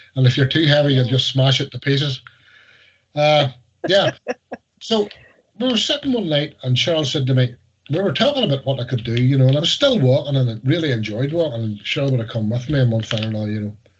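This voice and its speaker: A very fast, somewhat breathy delivery in a Northern Irish accent, with ordinary pitch variation. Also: man, medium pitch for a man. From Northern Ireland. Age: 60s. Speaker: weight loss success story. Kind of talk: interview. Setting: video call.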